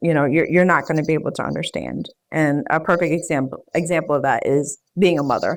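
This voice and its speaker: A woman speaks at a very fast pace in a Philadelphia accent, her very deep, low pitch held to fairly even intonation. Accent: American, Philadelphia. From US, Philadelphia. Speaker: public health professional. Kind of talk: interview.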